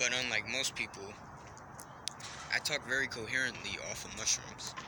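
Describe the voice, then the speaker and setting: A man talks at a moderate speed while noticeable background noise fills the recording. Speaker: vlogger. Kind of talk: casual monologue. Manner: halting, filler-heavy.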